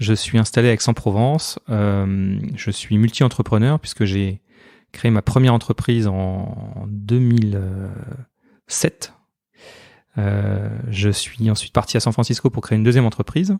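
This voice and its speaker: In a dry, close recording with no echo, a man with a dark, mellow tone and fairly low pitch talks at a fairly slow pace, using fairly even intonation and long, frequent pauses. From northern France. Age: 40s. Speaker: entrepreneur. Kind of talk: interview.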